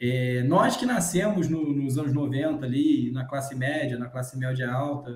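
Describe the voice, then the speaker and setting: Ordinary pitch variation marks a man's voice, heard with audible room echo. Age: 30s. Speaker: podcast host. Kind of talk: casual chat.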